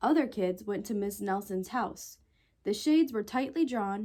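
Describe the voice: It is plain reading aloud, carried by lively intonation.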